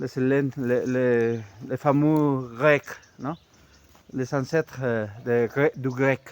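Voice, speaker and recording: A man with a non-native accent speaks at a medium pitch and a very slow pace with fairly even intonation, in a dry, close sound with no echo. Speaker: amateur history youtuber. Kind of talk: casual monologue. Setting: outdoors, walking. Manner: halting, many hesitations.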